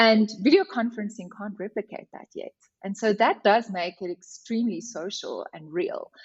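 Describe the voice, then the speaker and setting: A woman with an Afrikaans accent, somewhat breathy, at a moderate pace, with big swings in loudness and ordinary pitch variation. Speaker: HR director. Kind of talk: podcast interview.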